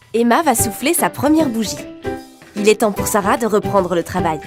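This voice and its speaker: A woman at a medium pitch and moderate pace, with very wide pitch swings and music in the background. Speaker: voice actor. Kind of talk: commercial narration.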